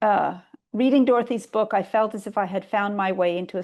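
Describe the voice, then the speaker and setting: A woman with an American accent and an ordinary speaking voice, medium pitch, fairly even intonation and a moderate pace, against a quiet background. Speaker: poet. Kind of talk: reading aloud.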